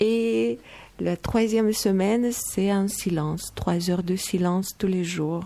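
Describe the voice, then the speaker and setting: At a very slow pace, a woman speaks in a dark, mellow tone with very even loudness and ordinary pitch variation. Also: medium pitch for a woman. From Moldova. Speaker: meditation teacher. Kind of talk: radio interview.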